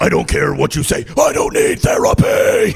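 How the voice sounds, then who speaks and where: Shouting loudly in a put-on character voice, a man is heard over clear background noise. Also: moderate pace. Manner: defiant.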